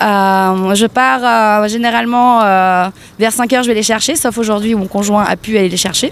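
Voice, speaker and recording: Pitched fairly high, a woman speaks at a moderate pace with ordinary pitch variation. There is noticeable background noise. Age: 30s. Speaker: protester. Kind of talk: street interview.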